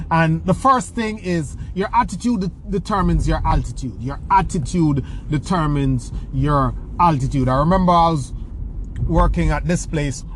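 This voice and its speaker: Someone speaks at a moderate pace amid noticeable background noise. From rural Jamaica. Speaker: personal development podcast host. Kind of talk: podcast monologue answering listener questions. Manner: hesitant, many fillers and repeated words.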